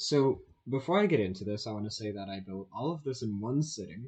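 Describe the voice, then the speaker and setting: A somewhat breathy man's voice at a medium pitch, fairly slow, with lively intonation. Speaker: gaming YouTuber. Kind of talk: gameplay commentary and tutorial. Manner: casual, hesitant with fillers. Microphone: bad audio.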